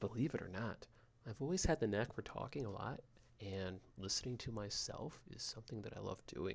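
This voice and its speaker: With lively intonation and a soothing, calm tone, a man talks at a fairly quick pace in a medium pitch that is somewhat breathy. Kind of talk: podcast monologue. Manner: rambling.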